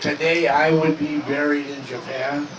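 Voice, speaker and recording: A man speaks at a fairly slow pace in a monotone, flat intonation. Noticeable background noise is present. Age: 90s. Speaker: war veteran. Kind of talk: public talk.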